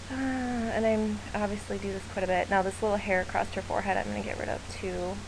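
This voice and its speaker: A woman with a Midwestern US accent talks very fast with hardly any pauses, amid audible room echo and noticeable background noise. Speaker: photographer. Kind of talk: tutorial. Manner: casual, chatty with many fillers.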